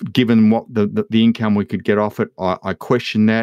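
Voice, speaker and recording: An Australian accent comes through at a fairly quick pace. The sound is dry and close with no echo, over a quiet background. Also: man. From Western Victoria, Australia. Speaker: agribusiness educator. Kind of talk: interview. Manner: halting, repeats words.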